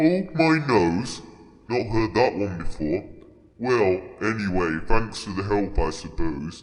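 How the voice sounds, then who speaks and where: Putting on a character voice, a man speaks at a fairly low pitch and a fairly slow pace. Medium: audio drama. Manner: gruff, blunt, folksy.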